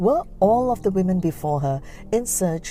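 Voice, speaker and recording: A woman speaks at a fairly slow pace with very wide pitch swings. Music runs in the background. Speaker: podcast host. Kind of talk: podcast trailer narration.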